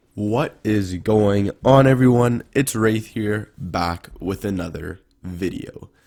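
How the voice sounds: A man talks slowly in a fairly low, slightly mellow voice that is raspy and has vocal fry, with ordinary pitch variation.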